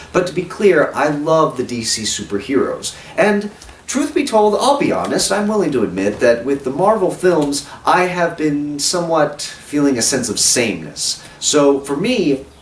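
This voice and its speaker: Over noticeable background noise, a man with a fairly high voice speaks at a moderate pace, his pitch swinging very widely. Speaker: film reviewer. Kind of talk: video review. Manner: animated.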